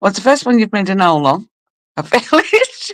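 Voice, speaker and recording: Lively in intonation, a woman talks at a moderate pace with a medium pitch and vocal fry. The sound is dry and close, with no echo. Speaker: live streamer. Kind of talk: casual chat reading live comments. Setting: live stream.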